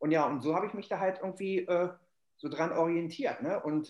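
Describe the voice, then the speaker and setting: Moving at a fairly quick pace, a man has an ordinary speaking voice with ordinary pitch variation. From Germany, Hannover. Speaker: football casual culture expert. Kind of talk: casual chat. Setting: remote call.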